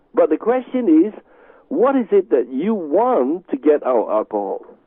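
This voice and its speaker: A man speaks with a Chinese accent. His pitch swings very widely at a moderate pace. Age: 60s. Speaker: Tai Chi master and healing teacher. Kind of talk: radio interview. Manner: halting.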